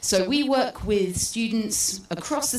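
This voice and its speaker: A woman with a British accent and fairly high pitch speaks with lively intonation amid audible room echo and noticeable background noise. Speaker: space educator. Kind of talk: public talk. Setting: stage with audience.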